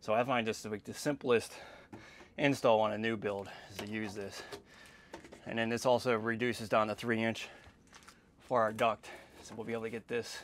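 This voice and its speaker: This man talks at a fairly quick clip. His intonation is monotone and flat. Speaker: contractor. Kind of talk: tutorial. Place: bathroom. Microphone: lapel.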